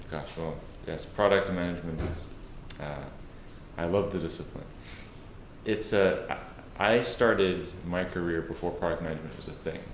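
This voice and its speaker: Audible room echo surrounds a man with a very deep, low pitch, fairly even intonation and a slight South African accent. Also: moderate pace. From South Africa, Cape Town. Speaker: tech product executive. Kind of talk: interview. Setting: office.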